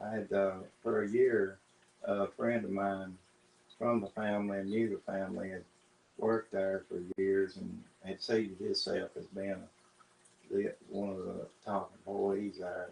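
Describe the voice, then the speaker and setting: A man with a Southern US accent talks at a fairly slow pace and fairly low pitch, with monotone, flat intonation and long, frequent pauses. Noticeable background noise sits behind him. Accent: Southern US rural. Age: 60s. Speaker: interviewee. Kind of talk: sit-down interview. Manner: halting.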